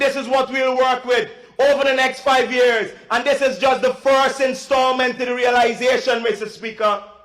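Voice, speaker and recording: A man speaks in an extremely high pitch at a moderate pace, with hardly any pauses and fairly even intonation. Noticeable background noise can be heard. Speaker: member of parliament. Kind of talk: parliamentary speech. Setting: parliament chamber.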